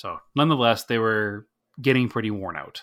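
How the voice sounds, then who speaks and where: The recording is very clean, with a silent background. A man speaks in a bright, sharp tone with ordinary pitch variation. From Massachusetts North Shore, Salem. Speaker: podcast co-host. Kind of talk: casual chat.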